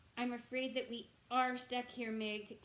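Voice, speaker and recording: A woman speaks in a put-on character voice, pitched high. Her intonation is flat and monotone, at a moderate pace. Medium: read story. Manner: gentle.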